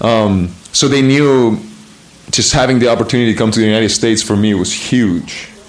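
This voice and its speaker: A man with a Spanish accent at medium pitch, fairly even intonation and very even loudness, amid audible room echo and noticeable background noise. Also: fairly quick pace. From Chile. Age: 20s. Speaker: American football player. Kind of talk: interview.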